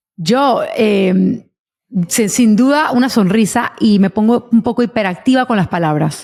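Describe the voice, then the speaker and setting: An unremarkable speaking voice from a woman, fairly high in pitch with ordinary pitch variation, at a fairly slow pace and very even loudness. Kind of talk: interview conversation.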